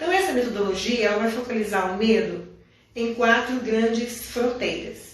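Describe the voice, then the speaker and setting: Noticeable background noise and audible room echo surround a woman with a fairly high pitch speaking at a moderate pace. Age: 70s. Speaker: biodanza school director. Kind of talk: live stream interview.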